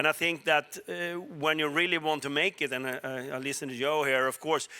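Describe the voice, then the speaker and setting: With a Swedish accent, a man speaks at a fairly quick pace in a fairly high pitch, his tone bright and sharp and his intonation fairly even. The recording is very clean with a silent background, and the sound is dry and close with no echo. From Sweden. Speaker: telecom executive. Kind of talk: panel discussion.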